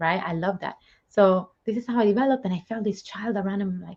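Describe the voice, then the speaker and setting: Somewhat breathy, a woman with an Italian accent speaks at a medium pitch in a dark, mellow tone. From Italy. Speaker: spiritual medium and live show host. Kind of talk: casual chat. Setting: livestream. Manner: animated.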